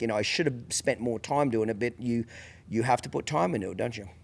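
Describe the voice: Fast speech from a man at a medium pitch, with vocal fry. His pitch varies in an ordinary way.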